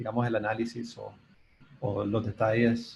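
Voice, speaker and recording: His tone is dark and mellow, and the man speaks at a medium pitch with a somewhat breathy quality. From Nicaragua. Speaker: composer. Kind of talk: Q&A discussion in online colloquium. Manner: halting, many repetitions.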